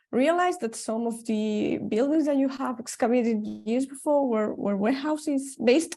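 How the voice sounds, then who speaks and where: The voice has a dark, mellow tone and lively intonation. It moves at a fairly slow pace. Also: woman. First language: not French (speaking French). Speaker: archaeologist. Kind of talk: academic discussion.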